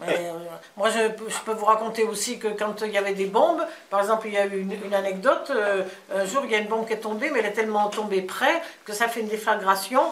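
A woman speaks fast with few pauses, her medium pitch carrying ordinary variation and a fairly bright tone. Room echo is audible.

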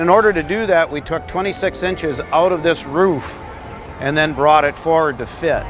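Over clear music in the background, a man talks at a moderate pace in a dry sound with no echo. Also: ordinary pitch variation. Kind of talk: explanatory walkaround. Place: stadium.

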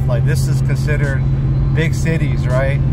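Loud noise fills the background, while the sound itself is dry and has no echo. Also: man. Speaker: vlogger driving. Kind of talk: casual vlog chat. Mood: relaxed, nostalgic. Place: car. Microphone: phone near.

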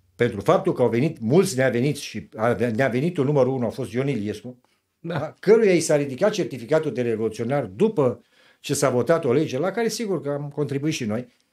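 A man speaks at a fairly quick pace with a fairly high pitch and a dark, mellow tone. His intonation is lively, and the background is quiet. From Romania. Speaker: 1989 revolution participant and activist; interview guest. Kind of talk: interview testimony. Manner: animated. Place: studio. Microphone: studio mic.

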